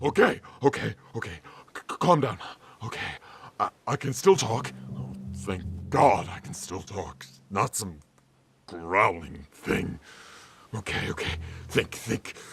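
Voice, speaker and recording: A man uses a put-on character voice at a fairly low pitch. He leaves long, frequent pauses while music plays in the background. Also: fairly slow pace. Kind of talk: audio drama. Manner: panicked, stammering.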